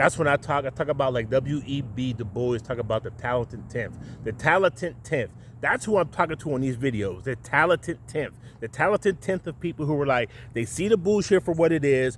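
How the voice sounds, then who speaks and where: At a fairly quick pace, a man talks in an animated tone with lively intonation. His voice is fairly high and somewhat breathy. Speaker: video podcast host. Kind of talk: monologue rant to camera. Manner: animated, stuttering from excitement.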